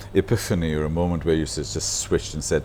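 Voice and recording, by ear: A man's voice, low in pitch.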